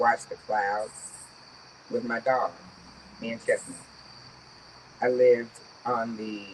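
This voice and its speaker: Speaking at a very slow pace with long, frequent pauses, a woman with a very deep, low pitch swings widely in loudness over noticeable background noise. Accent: American. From US South, rural Georgia. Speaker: storyteller. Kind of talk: live storytelling. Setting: stage with audience. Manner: animated.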